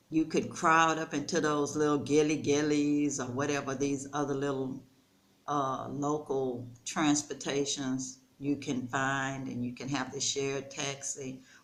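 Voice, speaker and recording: A woman's very deep, low pitch with a relaxed tone, fairly slow and monotone, with audible room echo. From United States. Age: 60s. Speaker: storyteller vlogger. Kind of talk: casual vlog monologue. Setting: rental house. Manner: conversational, relaxed.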